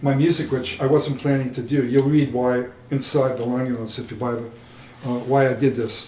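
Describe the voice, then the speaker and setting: This man talks at a moderate pace and a medium pitch, with fairly even intonation. Audible room echo and noticeable background noise surround his voice. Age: 70s. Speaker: jazz musician and arranger. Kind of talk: Q&A after screening. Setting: stage with audience in theatre. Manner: halting.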